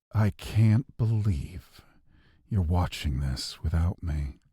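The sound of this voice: A man puts on a husky character voice with a very deep, low pitch. He delivers it at a very slow pace.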